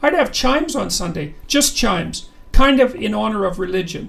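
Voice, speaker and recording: At a moderate pace, a man does a put-on character voice, high-pitched and full of very wide pitch swings. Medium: read story. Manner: simple, homely.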